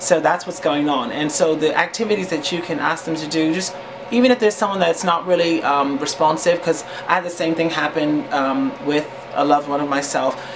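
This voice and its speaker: Against noticeable background noise, a man speaks at a fairly quick pace. His fairly high pitch shows ordinary pitch variation. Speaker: vlogger. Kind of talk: casual advice talk. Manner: hesitant, many fillers.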